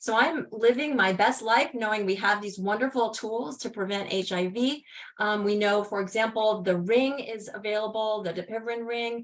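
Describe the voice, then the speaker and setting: Hardly pausing, a woman speaks at a fairly high pitch with fairly even intonation. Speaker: HIV prevention researcher. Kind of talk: conference presentation. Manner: fast.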